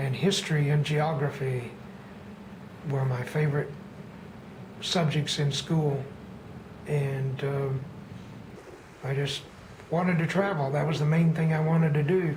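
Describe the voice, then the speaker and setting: Fairly slow speech with an American accent and long, frequent pauses. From Texas. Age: 60s. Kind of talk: personal storytelling monologue.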